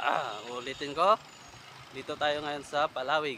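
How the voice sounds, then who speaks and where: Here a man speaks at a very slow pace. His voice is fairly high, with ordinary pitch variation. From Philippines, Zambales. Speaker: travel vlogger. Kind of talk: casual vlog narration. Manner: casual, conversational.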